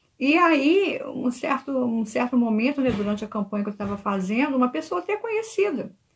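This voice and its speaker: This woman's voice is high in pitch. She speaks at a moderate pace. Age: 60s. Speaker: church member giving a talk. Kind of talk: church talk. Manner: earnest.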